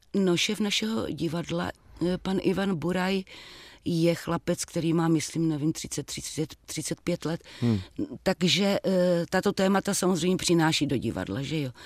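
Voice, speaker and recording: A normal speaking voice from a woman, fairly low in pitch and fairly slow, with a dry, close sound and no echo. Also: ordinary pitch variation. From Moravia, Czech Republic (Třebíč). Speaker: actress. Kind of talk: interview. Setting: remote studio link.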